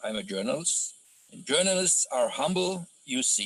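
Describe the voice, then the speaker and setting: With a German accent, a man is talking. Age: 60s. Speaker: journalist. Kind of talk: online lecture. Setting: video call. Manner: hesitant, many fillers.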